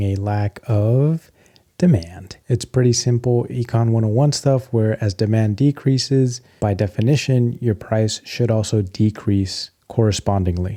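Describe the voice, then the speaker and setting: A soft-spoken man with an American accent, medium pitch and a dark, mellow tone, at a moderate pace with fairly even intonation and hardly any pauses. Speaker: tech and stock commentator. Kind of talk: casual commentary video.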